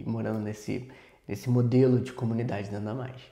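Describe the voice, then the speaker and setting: A man at medium pitch, dark and mellow in tone, at a moderate pace with ordinary pitch variation. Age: 30s. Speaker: missions teacher and project manager. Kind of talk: podcast interview.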